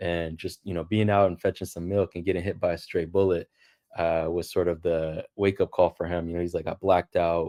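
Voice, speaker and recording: Speaking at a fairly quick pace with a Los Angeles accent, a man with a very deep, low pitch keeps a monotone, flat intonation, in a dry, close sound with no echo on a very clean recording with a silent background. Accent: American English, Los Angeles. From US West Coast, Los Angeles. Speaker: engineering professor. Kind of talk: interview. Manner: hesitant, with fillers and repeats.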